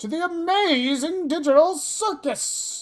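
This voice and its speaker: A put-on character voice sits at an extremely high pitch. It moves at a fairly slow pace. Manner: showman, come one come all.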